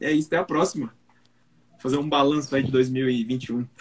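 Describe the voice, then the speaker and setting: Here a man is speaking. His pace is moderate. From South Zone of São Paulo, Brazil. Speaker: production engineer and 3D printing educator. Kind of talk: casual chat.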